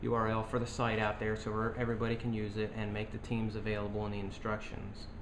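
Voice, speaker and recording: A man with a fairly low voice talks at a fairly quick pace. His intonation is monotone and flat, and the room echo is audible. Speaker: board game designer. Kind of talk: tutorial.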